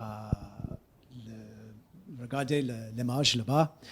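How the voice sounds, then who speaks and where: Somewhat breathy, the voice moves at a very slow pace with an English accent. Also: man. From United States. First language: English (speaking French). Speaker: geography professor. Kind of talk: lecture. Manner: halting, many hesitations.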